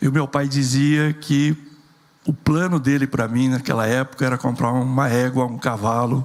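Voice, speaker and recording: Noticeable background noise sits behind a man of medium pitch. He talks at a moderate pace with fairly even intonation. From rural interior of São Paulo state, Brazil. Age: 60s. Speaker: entrepreneur and engineer. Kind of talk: keynote talk.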